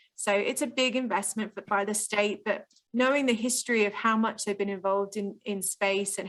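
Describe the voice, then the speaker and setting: A woman with an English accent, fairly quick in pace and fairly even in intonation. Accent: very English. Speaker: spaceport public relations officer. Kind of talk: podcast interview. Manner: frequent filler 'um'.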